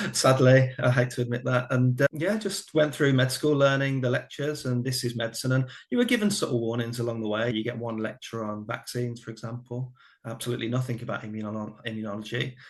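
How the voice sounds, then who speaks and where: A man's medium-pitched voice rushes along at a very fast pace. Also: fairly even intonation. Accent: Birmingham. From English Midlands, Birmingham. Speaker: former family doctor. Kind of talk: podcast interview.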